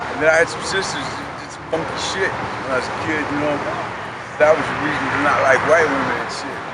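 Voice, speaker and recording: In a room with audible echo and noticeable background noise, a man speaks fairly quickly at a fairly high pitch. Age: 60s. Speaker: former prisoner, homeless man. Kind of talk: life story interview.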